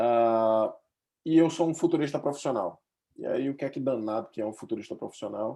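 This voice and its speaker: Using a Recife accent, a man talks at a fairly quick pace in a medium pitch with a dark, mellow tone and ordinary pitch variation. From Brazil, Recife. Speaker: futurist researcher. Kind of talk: webinar presentation.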